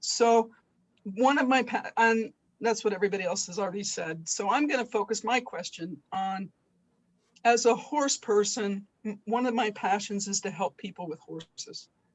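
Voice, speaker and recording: Fairly high in pitch, a woman speaks at a moderate pace. Her voice is somewhat breathy. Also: ordinary pitch variation. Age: 60s. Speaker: webinar participant, horse person and retiring teacher. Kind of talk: question in a webinar. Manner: halting.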